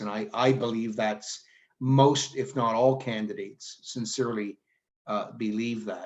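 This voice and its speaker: A plain, everyday voice with a Canadian accent, fairly slow and fairly even in intonation. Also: man. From Canada, Mississauga, Ontario. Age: 50s. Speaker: former politician. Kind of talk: talk to a town hall. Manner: informal, with many fillers.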